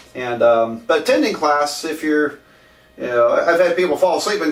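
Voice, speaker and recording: Ordinary pitch variation at a moderate tempo, noticeable background noise throughout. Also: man. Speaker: math professor. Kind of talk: lecture. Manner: hesitant, many fillers.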